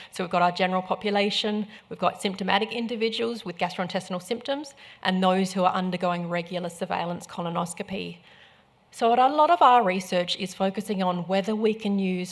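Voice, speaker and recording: Speaking fairly quickly, a woman has an Australian accent. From South Australia. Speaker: medical professor. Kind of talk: conference talk.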